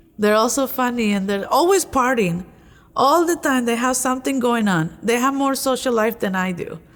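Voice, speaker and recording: A woman with a Spanish accent speaks at a moderate pace in a high pitch with lively intonation, on a very clean recording with a silent background. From Mexico. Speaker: college graduate and lay religious associate. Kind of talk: interview. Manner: halting.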